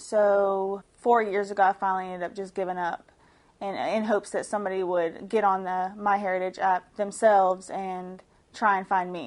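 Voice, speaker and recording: Flat, monotone delivery in a Southern US accent at a moderate pace, against a quiet background. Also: woman, medium pitch for a woman. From US South, Georgia. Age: 20s. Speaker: stay-at-home mother. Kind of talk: testimonial interview. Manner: casual, hesitant with fillers.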